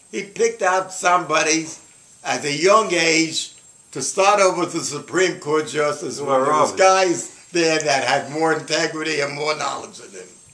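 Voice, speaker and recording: Over noticeable background noise, a man with a fairly high pitch talks at a moderate pace, his pitch varying in an ordinary way while his loudness swings widely. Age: 80s+. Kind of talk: casual opinionated conversation.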